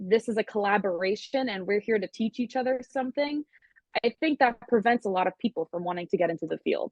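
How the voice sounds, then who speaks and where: Speaking at a fairly quick pace, a woman with a Long Island accent has a fairly high pitch and ordinary pitch variation. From Long Island, New York. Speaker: music producer and singer-songwriter. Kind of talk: interview.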